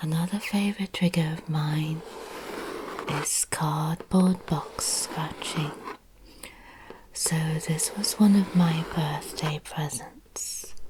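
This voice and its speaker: The voice is soft-spoken and very slow, broken by long, frequent pauses. Noticeable background noise runs underneath. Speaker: ASMR content creator. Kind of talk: ASMR soft-spoken talk.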